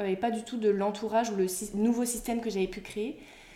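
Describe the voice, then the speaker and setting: A woman speaks at a medium pitch with fairly even intonation, her voice carrying audible room echo over noticeable background noise. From Brittany, France. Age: 20s. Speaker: former athlete turned mental coach. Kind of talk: interview. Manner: hesitant, many fillers.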